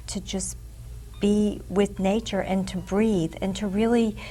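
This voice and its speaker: Music plays in the background as a woman with an American accent speaks at a very slow pace. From US Northeast, Boston. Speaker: psychic healer and teacher. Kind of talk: interview.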